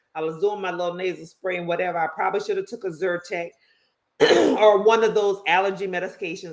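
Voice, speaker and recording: A woman speaks very fast in an animated tone at a medium pitch. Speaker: podcast co-host. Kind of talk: casual chat.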